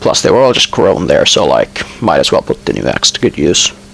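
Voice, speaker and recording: A man's fairly quick pace comes through despite noticeable background noise. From Finland. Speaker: gaming YouTuber. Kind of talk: voice-over commentary. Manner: hesitant, many fillers. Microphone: poor quality mic.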